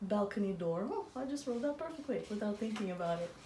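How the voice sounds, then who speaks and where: A woman talks at a fairly quick pace in a Russian accent, her pitch medium. Room echo is audible, and background noise is noticeable. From Azerbaijan. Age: 40s. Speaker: artist and dancer. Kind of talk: interview conversation.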